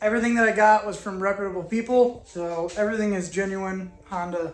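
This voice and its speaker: Speaking at a fairly quick pace, a man with a high pitch keeps his intonation fairly even amid audible room echo. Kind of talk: casual vlog tutorial. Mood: relaxed, joking. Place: garage. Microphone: phone near.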